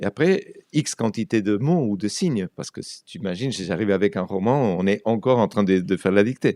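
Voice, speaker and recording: A man's dark, mellow tone at a fairly quick pace, with lively intonation and big swings in loudness, on a very clean recording with a silent background. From Argentina. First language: Spanish (speaking French). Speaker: writer and translator. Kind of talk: radio interview. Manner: halting, many repetitions.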